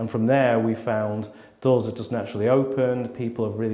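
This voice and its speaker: The voice has a slight Manchester accent, with audible room echo around it. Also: man. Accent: slight Mancunian. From Manchester, northern England. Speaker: life coach. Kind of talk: interview testimony. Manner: casual.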